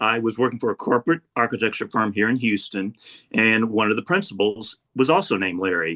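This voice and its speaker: A man at a fairly quick pace, medium in pitch with ordinary pitch variation and an unremarkable speaking voice. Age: 60s. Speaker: architect and art environment documenter. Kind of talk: casual interview.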